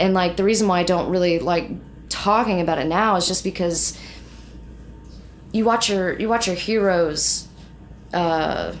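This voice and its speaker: A woman's fairly low voice at a moderate pace, with fairly even intonation, very even loudness, long, frequent pauses and audible room echo. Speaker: metal band vocalist. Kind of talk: casual interview chat. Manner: casual, filler-heavy.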